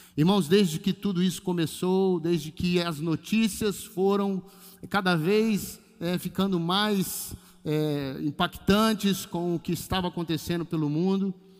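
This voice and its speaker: His pitch is high for a man, his intonation fairly even. The man talks at a fairly slow pace. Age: 50s. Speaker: pastor. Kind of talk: sermon. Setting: church livestream.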